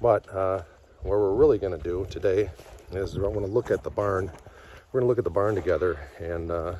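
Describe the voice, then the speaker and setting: In an ordinary speaking voice, a man talks at a fairly quick pace with a fairly low pitch and fairly even intonation, the sound dry with no echo and light background noise. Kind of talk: casual vlog chat. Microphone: phone near.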